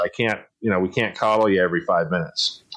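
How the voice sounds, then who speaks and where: An unremarkable speaking voice from a man with an American accent, medium in pitch, at a fairly quick pace. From San Diego, California. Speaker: podcast host. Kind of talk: casual chat.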